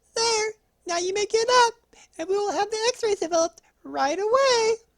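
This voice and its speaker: The speaker puts on a squeaky character voice. Its pitch is extremely high. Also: moderate pace. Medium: read story. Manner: calm, reassuring.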